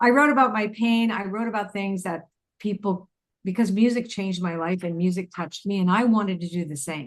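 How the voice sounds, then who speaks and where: A woman at a fairly quick pace, with ordinary pitch variation. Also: medium pitch for a woman. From Canada. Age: 60s. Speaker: intuitive teacher and author. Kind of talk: interview conversation. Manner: halting, with false starts.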